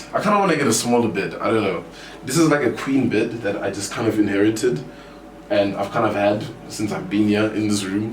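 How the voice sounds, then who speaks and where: With noticeable background noise and audible room echo, a man speaks at a fairly quick pace in a fairly low pitch with ordinary pitch variation. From South Africa, Johannesburg. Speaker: gamer and streamer. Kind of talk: casual room tour. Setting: indoors, bedroom. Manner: loud.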